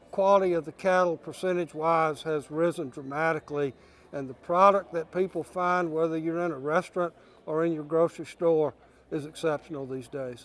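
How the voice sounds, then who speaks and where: The man's fairly high pitch and fairly even intonation come at a moderate pace in an ordinary speaking voice. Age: 60s. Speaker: cattle industry leader. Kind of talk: news interview.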